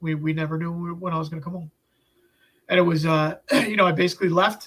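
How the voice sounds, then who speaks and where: A man with an American accent speaks at a high pitch. His pace is fairly quick. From Upstate New York. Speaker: health journey storyteller. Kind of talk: interview. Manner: halting.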